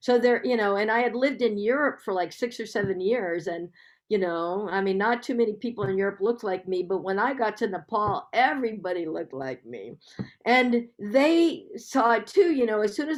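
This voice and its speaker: A woman with a normal speaking voice talks at a fairly quick pace in an American accent. Her pitch is fairly high with lively intonation, and the recording is very clean with a silent background. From United States. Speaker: public health professor. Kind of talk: Q&A after a lecture.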